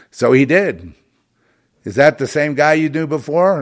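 On a very clean recording with a silent background, a man speaks at a moderate pace with vocal fry. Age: 70s. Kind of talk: solo livestream monologue. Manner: halting.

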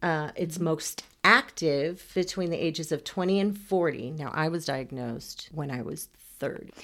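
At a moderate pace, a woman with an American accent speaks at a very deep, low pitch with ordinary pitch variation. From Texas, Houston. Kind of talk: casual chat.

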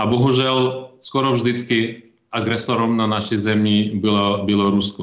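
With a Ukrainian accent, a man speaks at a fairly slow pace in a monotone, flat intonation, with audible room echo around him. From Ukraine, Kyiv (born Ternopil region). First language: Ukrainian (speaking Czech). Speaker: ambassador. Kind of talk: interview. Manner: halting, with repetitions.

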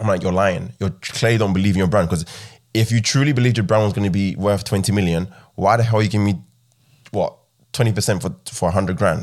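The recording is very clean, with a silent background. The speech comes at a very fast pace, with very even loudness and ordinary pitch variation. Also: man, fairly low pitch for a man. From Southeast London, with childhood years in Ghana. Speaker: property investor and entrepreneur. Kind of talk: casual interview chat.

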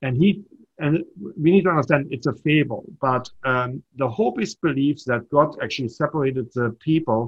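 A man with a German accent, fairly high in pitch, at a moderate pace with ordinary pitch variation. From Germany. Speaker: startup entrepreneur and mentor. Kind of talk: casual interview.

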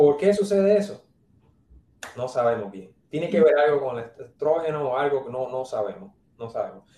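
In a Puerto Rican accent, a somewhat breathy voice moves at a moderate pace with lively intonation. Long, frequent pauses and big swings in loudness mark the delivery. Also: man, fairly high pitch for a man. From Puerto Rico, San Juan. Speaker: neurologist. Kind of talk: interview.

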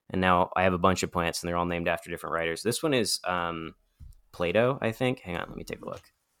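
With a bright, sharp tone, a man speaks at a very deep, low pitch in a very clean recording with a silent background. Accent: American. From US East Coast, Appalachia. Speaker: podcast host. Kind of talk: casual banter.

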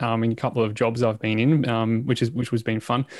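A man with an Australian accent, medium in pitch, at a moderate pace. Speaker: podcast host. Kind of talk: casual chat. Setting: video call. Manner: animated.

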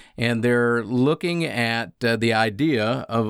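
This man's voice sits at a medium pitch with ordinary pitch variation; it is a plain, everyday voice. The recording is very clean, with a silent background. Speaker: radio host. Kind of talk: casual chat.

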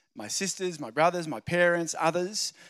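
On a very clean recording with a silent background and a dry, close sound with no echo, a man with a high pitch speaks at a moderate pace in an Australian accent. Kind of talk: sermon.

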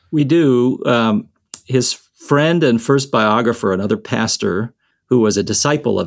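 Speaking with an American accent and ordinary pitch variation, a man is heard in a very clean recording with a silent background. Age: 50s. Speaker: seminary dean and church historian. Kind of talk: interview conversation. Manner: frequent filler hesitations.

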